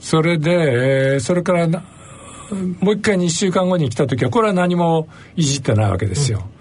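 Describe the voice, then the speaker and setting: Noticeable background noise sits behind a man with a fairly high voice. He talks at a moderate pace with lively intonation and very even loudness. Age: 70s. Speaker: physician and professor emeritus. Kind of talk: interview.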